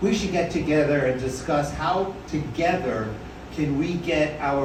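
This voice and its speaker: A man with an American accent and a fairly high pitch talks at a moderate pace with ordinary pitch variation, while audible room echo and noticeable background noise fill the recording. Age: 70s. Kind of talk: personal storytelling at open mic. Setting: bar stage with audience. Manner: casual, humorous.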